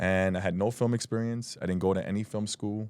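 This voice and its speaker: With a New York accent, a man talks at a very fast pace in a dark, mellow tone and fairly even intonation. The recording is very clean, with a silent background. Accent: New York (Bronx). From New York, the Bronx. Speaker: independent filmmaker, former correction officer. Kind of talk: podcast interview.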